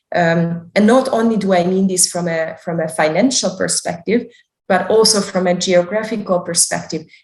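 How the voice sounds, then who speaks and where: Somewhat breathy and with a Hungarian accent, a woman talks at a moderate pace in a medium pitch with ordinary pitch variation. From Hungary, Budapest. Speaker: developmental psychologist. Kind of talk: interview, career talk.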